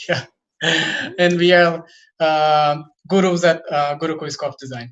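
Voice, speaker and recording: Speaking at a fairly slow pace with fairly even intonation, a man with a Brazilian accent uses a high pitch. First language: Portuguese. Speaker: design teacher. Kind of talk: online workshop presentation.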